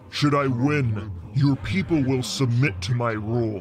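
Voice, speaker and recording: Booming in a put-on character voice, a man speaks at a fairly slow pace and medium pitch over clear background noise. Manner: commanding, domineering.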